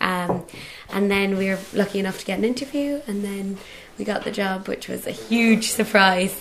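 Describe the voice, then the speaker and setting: With a Cork accent, a woman talks at a medium pitch and a moderate pace. Her intonation is fairly even, and background noise is noticeable. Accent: Cork Irish. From Ireland, Cork (Bandon). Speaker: island caretaker. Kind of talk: casual interview.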